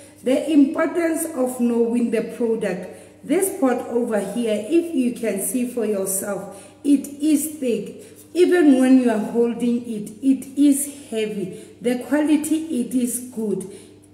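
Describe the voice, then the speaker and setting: A woman's high voice at a fairly slow pace with ordinary pitch variation and audible room echo. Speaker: presenter. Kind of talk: live product demonstration. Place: shop. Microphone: phone near.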